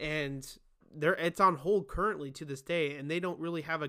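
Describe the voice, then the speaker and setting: A man speaks in a bright, sharp tone at a fairly high pitch, with fairly even intonation. His pace is moderate, and the recording is very clean with a silent background. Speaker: tech podcast host. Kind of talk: solo tech news commentary. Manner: casual with many fillers and restarts.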